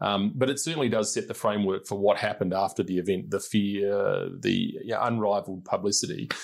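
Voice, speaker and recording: This man's delivery is fairly quick. Hardly any pauses break it up. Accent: Australian. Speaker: podcast host and politician. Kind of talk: interview. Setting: parliament building.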